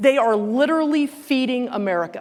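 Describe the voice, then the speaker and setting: A woman with a Southern US accent and lively intonation, in a very clean recording with a silent background. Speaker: company president and CEO giving keynote. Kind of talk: keynote speech. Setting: stage with audience. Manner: conversational, folksy.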